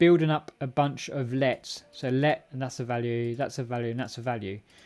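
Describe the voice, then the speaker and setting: With an English accent, a man speaks at medium pitch. His pace is moderate and his pitch variation ordinary. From England. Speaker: programming live streamer. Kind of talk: live coding stream. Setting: live stream with chat. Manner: casual, halting with fillers.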